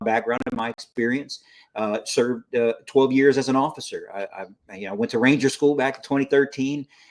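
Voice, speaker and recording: In an American accent, a man with an ordinary speaking voice talks at a fairly quick pace and a medium pitch. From South Texas, US. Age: 40s. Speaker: army veteran. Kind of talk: interview.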